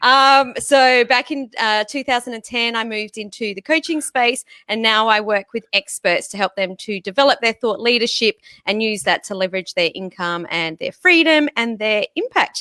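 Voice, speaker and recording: Bright and sharp in tone, a woman's fairly high-pitched voice rises and falls with lively intonation. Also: moderate pace, dry, close sound with no echo. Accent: Australian. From Australia, Sydney. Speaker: business coach and podcast co-host. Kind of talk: casual chat.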